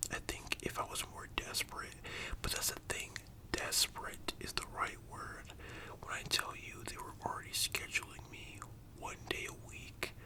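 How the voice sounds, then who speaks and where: Whispering at a moderate pace, a man speaks in a gentle tone with big swings in loudness over noticeable background noise. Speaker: ASMR creator telling a personal story about working at a fast-food restaurant. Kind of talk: ASMR storytime, casual talk to camera. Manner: soft whispers, gentle.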